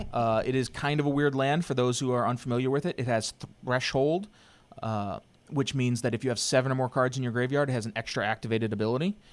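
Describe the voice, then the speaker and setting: Speaking at a very fast pace, a man uses a medium-pitched voice. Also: ordinary pitch variation. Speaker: game commentator. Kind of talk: live commentary. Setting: commentary booth. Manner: loud; announcer style.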